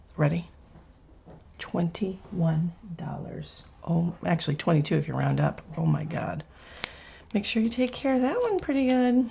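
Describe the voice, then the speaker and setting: A soft-spoken woman at a moderate pace, with long, frequent pauses and noticeable background noise. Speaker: craft artist. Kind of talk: product unboxing. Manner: animated.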